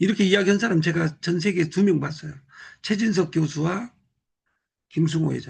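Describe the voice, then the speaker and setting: A high-pitched man talks at a fairly quick pace. He leaves long, frequent pauses. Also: ordinary pitch variation. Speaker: business group leader. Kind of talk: motivational talk. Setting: live video call.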